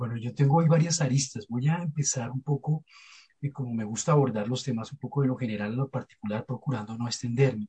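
In a Bogotá accent, this somewhat breathy voice with a dark, mellow tone runs at a very fast pace, with ordinary pitch variation and a dry, close sound with no echo. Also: man, medium pitch for a man. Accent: Bogotá Colombian Spanish. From Colombia, Bogotá. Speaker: archivist, head of archivists' society. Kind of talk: panel discussion.

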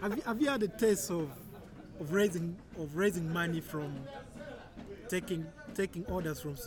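Through noticeable background noise, a man with a high pitch and ordinary pitch variation speaks at a fairly quick pace. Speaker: podcast host. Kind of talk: interview.

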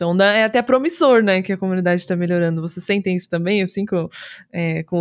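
An unremarkable speaking voice moves at a fairly quick pace with fairly even intonation, captured in a very clean recording with a silent background. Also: woman. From Rio Grande do Sul, Brazil (Osório). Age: 20s. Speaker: streamer. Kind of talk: casual chat.

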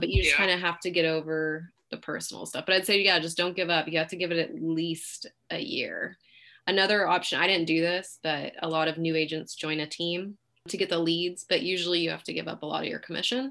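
With a Californian accent, a woman speaks at a fairly quick pace in a fairly low voice with a bright, sharp tone. Her intonation is fairly even, and the background is quiet. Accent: Californian American. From San Francisco Bay Area, California. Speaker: realtor. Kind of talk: interview.

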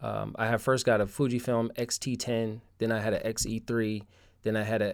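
A man with an American accent and a normal speaking voice, medium in pitch, at a moderate pace. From Connecticut, US. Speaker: street photographer. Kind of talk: casual interview chat. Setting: remote call.

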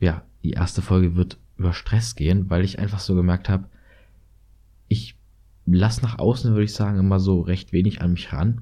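On a very clean recording with a silent background, a man with a very deep, low pitch and a dark, mellow tone speaks at a moderate pace, his intonation fairly even, his loudness very even, and his speech broken by long, frequent pauses. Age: 20s. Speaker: university student and podcaster. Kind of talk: solo monologue podcast.

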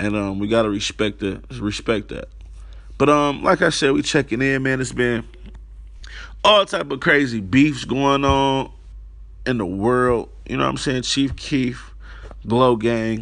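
A man's medium-pitched voice against a quiet background, fairly slow with long, frequent pauses and ordinary pitch variation. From Detroit, Michigan. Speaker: podcast host. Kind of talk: casual monologue.

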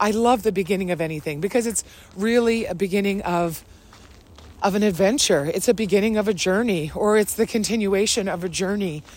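Over noticeable background noise, a woman at medium pitch speaks at a fairly quick pace with ordinary pitch variation. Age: 40s. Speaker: life and wellness coach, podcast host. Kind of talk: personal reflective monologue. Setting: outdoors, walking on a trail.

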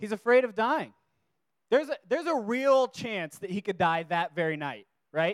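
A speaker with an American accent talks at a moderate pace, making very wide pitch swings. The sound is dry and close, with no echo. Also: man, high pitch for a man. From US West Coast (Washington, California). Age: 30s. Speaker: youth preacher. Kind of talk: sermon. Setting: stage with audience. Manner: casual, filler-heavy.

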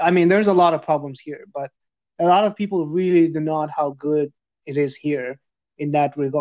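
A man talks at a fairly quick pace with a fairly high pitch. It is an unremarkable speaking voice. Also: fairly even intonation. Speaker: podcast host. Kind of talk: casual interview.

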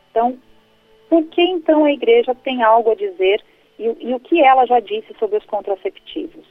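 Over music in the background, the voice moves at a moderate pace with very wide pitch swings. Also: woman, high pitch for a woman. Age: 30s. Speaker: pro-life educator and speaker. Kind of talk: radio interview.

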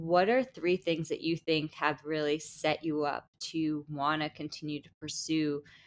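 This woman has a very deep, low pitch. She speaks with an American accent. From New Jersey, Bergen County. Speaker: podcast host. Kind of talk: casual interview chat. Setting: remote recording.

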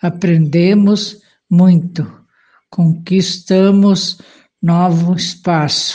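With a somewhat breathy, dark, mellow tone, a woman at medium pitch talks at a very slow pace in a monotone, flat intonation. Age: 70s. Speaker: retired farmer and community volunteer. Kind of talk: personal testimony.

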